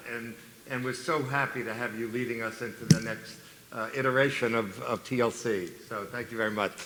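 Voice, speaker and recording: Amid noticeable background noise and audible room echo, a man at a medium pitch talks at a fairly quick pace with fairly even intonation. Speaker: psychologist and keynote speaker. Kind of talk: conference keynote speech. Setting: stage with audience. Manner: halting, with many fillers and repetitions.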